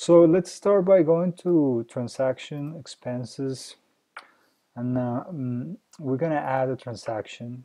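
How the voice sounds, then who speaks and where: Very slow speech in a dark, mellow tone with a non-native accent and ordinary pitch variation. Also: man. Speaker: software company founder. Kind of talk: software tutorial. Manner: hesitant, many fillers.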